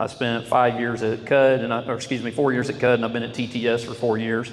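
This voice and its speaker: Over background music and audible room echo, the speaker talks at a moderate pace in a flat monotone. The accent is American. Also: man. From Oklahoma. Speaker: oilfield sales rep giving a talk. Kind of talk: testimony. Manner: loud.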